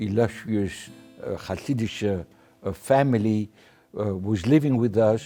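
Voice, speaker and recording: This man speaks fairly slowly, his pitch varying in an ordinary way, while music plays in the background. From Belgium. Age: 80s+. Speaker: Holocaust survivor. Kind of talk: testimony.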